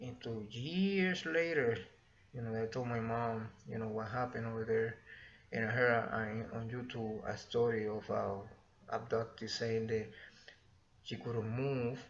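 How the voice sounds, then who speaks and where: With a Spanish accent, a man speaks at a medium pitch in a somewhat breathy voice. He keeps a moderate pace and ordinary pitch variation, with audible room echo. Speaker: YouTuber sharing experiences. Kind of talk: personal storytelling. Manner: halting, casual.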